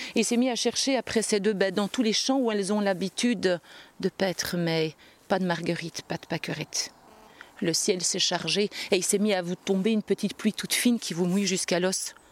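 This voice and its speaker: A woman speaks at a moderate pace with a medium pitch and ordinary pitch variation. The sound is dry and close, with no echo. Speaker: storyteller. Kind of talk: live folk tale storytelling to an audience, narrative with voiced dialogue. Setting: stage with audience at a storytelling festival. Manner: animated, expressive, lively narration with character voices.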